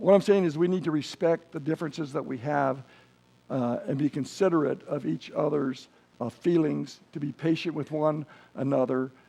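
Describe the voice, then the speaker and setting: A man's fairly high-pitched voice, dark and mellow in tone, with vocal fry. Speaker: preacher. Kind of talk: sermon. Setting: church. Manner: fast.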